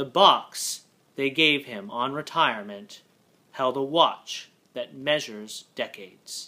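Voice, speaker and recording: A man is speaking. He goes very slowly. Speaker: poetry reader. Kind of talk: poetry reading, haiku sequence read aloud. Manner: measured, deliberate, with pauses between haiku. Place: home room. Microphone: webcam.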